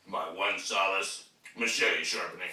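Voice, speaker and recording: Speaking fairly slowly, this man has an American accent. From United States. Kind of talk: comedic rant to camera.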